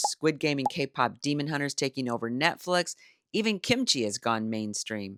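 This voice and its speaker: Recorded very cleanly against a silent background, with a dry, close sound and no echo, a woman with a very deep, low pitch and a bright, sharp tone makes very wide pitch swings. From Iowa, United States. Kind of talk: personal commentary to camera. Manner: earnest, measured.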